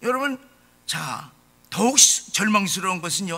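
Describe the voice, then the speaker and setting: A man speaks in a raised, projected voice with very wide pitch swings. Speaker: pastor. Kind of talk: sermon. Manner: impassioned.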